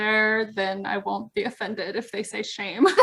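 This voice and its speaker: At a moderate pace, a woman talks with fairly high pitch in a plain, everyday voice. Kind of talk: podcast host conversation.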